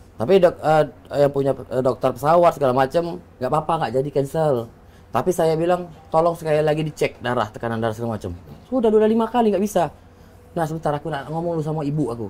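This man speaks very fast, his pitch fairly high. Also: lively intonation. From Palembang, Indonesia. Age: 30s. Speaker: deputy mayoral candidate, former legislator. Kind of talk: interview, casual chat. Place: studio. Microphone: lapel.

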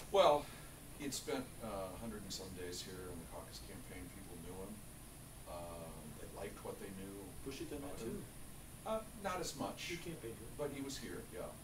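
Noticeable background noise sits under a man who speaks with long, frequent pauses. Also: moderate pace. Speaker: interview guest. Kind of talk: interview answer. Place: office.

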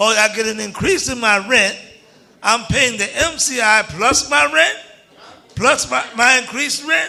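A man's extremely high-pitched, raised and projected voice, animated in tone, at a fairly slow pace. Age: 60s. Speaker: tenant speaking at public hearing. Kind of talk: public testimony.

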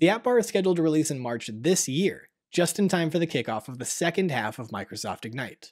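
A man at a very fast pace with hardly any pauses, very wide pitch swings and big swings in loudness, over a quiet background. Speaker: tech news show host. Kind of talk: news presentation. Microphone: studio mic.

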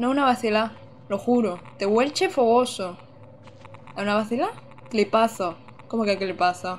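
Lively intonation marks this moderate-paced speech, broken by long, frequent pauses over light background noise. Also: woman, fairly high pitch for a woman. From Andalusia, Almería. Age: 20s. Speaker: gaming streamer. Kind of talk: live gameplay commentary. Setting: home streaming setup. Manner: animated. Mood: playful, amused. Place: home room.

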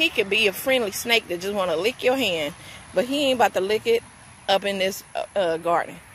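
A woman talks at a moderate pace with lively intonation. The sound is dry with no echo, over light background noise. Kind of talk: casual vlog chat. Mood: amused, recounting snake encounter. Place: garden. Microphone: phone near.

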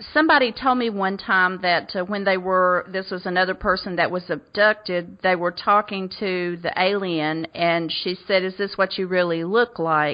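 A woman speaks with a Southern US accent at a medium pitch and moderate pace. She has ordinary pitch variation and hardly any pauses. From US South. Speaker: radio host. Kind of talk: interview.

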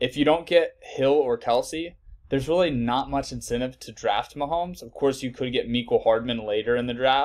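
Speaking at a moderate pace, a man is heard against a quiet background. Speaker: fantasy sports analyst. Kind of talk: tutorial. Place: home room.

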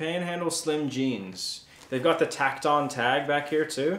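With audible room echo, the speaker talks at a fairly slow pace with ordinary pitch variation. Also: man. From South Africa. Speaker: YouTube reseller, channel co-host. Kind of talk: casual unboxing chat. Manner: playful, jokey. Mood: excited, upbeat. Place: home room.

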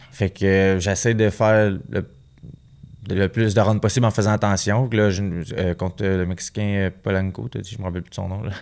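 A man with a Quebec accent, fairly low pitch, fairly even intonation and a moderate pace, over a quiet background. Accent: Québécois French. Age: 20s. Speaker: professional boxer; guest. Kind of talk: casual interview. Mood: relaxed, conversational. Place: studio. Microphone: studio mic.

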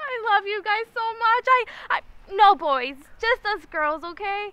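A woman projects her raised voice with lively intonation, the sound dry with no echo. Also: fairly slow pace. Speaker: actress in a scene. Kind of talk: scripted drama dialogue. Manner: tipsy, weepy, overly affectionate voice. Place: open country.

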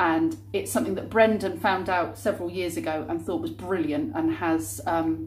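Her voice is fairly low, with vocal fry and very wide pitch swings. The woman talks at a moderate pace. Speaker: vlogger. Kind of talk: casual vlog chat. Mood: cheerful, animated. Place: kitchen. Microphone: phone near.

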